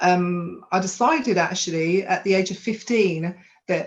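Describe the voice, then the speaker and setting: A woman with a London accent, fairly low in pitch, at a fairly slow pace. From London (Hackney). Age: 40s. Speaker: women's empowerment coach. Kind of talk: life story testimony.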